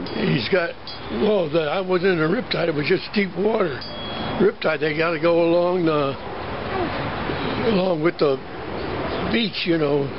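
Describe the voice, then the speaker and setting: The speech has long, frequent pauses. Noticeable background noise runs underneath. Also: man, high pitch for a man, ordinary pitch variation, moderate pace. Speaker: former competitive swimmer. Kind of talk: casual family conversation, reminiscing. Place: garden. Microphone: phone near.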